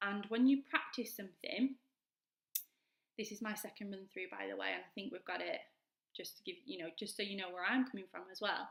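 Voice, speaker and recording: A woman talks at a fairly quick pace and medium pitch, with vocal fry and ordinary pitch variation. Her loudness swings widely, and she leaves long, frequent pauses. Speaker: vlogger and mature student. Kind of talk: casual advice vlog. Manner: fast; enthusiastic.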